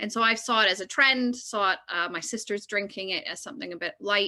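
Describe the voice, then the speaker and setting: With a Canadian accent, a woman speaks at a medium pitch in a bright, sharp tone. Her pace is fairly quick and her pitch varies in an ordinary way. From Canada. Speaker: drinks producer. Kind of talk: panel discussion.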